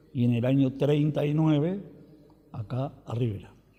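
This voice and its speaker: Ordinary pitch variation in the dark, mellow tone of a man. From Argentina, rural Buenos Aires province. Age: 70s. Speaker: interviewee, retired farmer. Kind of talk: oral history interview. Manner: hesitant fillers.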